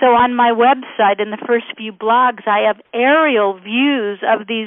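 Her pitch fairly high, a woman speaks at a fairly slow pace with ordinary pitch variation. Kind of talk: infomercial-style product pitch. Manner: enthusiastic, salesy, gushing; spelling out web address, promotional.

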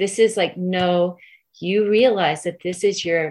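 A woman with an American accent speaks in a plain, everyday voice at a fairly low pitch. Her pace is fairly slow and her intonation fairly even. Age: 50s. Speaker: parent rights activist. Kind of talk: interview.

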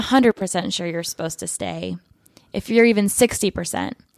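At a moderate pace, a woman with an American accent talks in a plain, everyday voice with ordinary pitch variation, on a very clean recording with a silent background. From Michigan, US Midwest. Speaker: community organizer. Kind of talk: casual chat.

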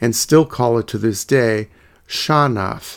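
Speaking in an unremarkable speaking voice, a man talks at a fairly slow pace with a medium pitch and fairly even intonation. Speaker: podcast host. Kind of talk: history documentary narration. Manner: measured, steady, formal; clear, informative, scripted-sounding.

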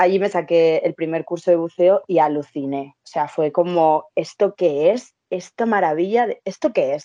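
In a Madrid accent, a woman speaks fairly slowly at a fairly low pitch, her tone dark and mellow, the sound dry and close with no echo. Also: ordinary pitch variation. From Spain, Madrid. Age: 30s. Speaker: travel content creator and entrepreneur. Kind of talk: interview, casual chat.

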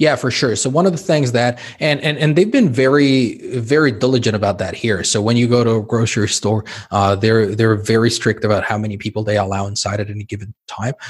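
A somewhat breathy man speaks at a medium pitch. He moves at a fairly quick pace with hardly any pauses. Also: ordinary pitch variation. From Mexico City. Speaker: physician. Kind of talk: interview conversation. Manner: repetitive, stammering restarts.

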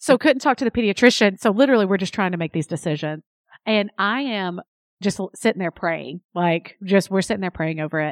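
A woman with an East Tennessee accent speaks at a fairly quick pace in an animated tone with lively intonation. The sound is dry and close with no echo, a very clean recording with a silent background. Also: medium pitch for a woman. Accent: Southern US (East Tennessee). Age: 30s. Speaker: podcast host. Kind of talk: casual interview chat. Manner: animated, chatty, self-deprecating.

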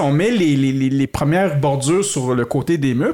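Noticeable background noise sits behind a man whose fairly high pitch moves with lively intonation at a moderate pace. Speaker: podcast host. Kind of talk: casual chat. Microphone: some echo from the room.

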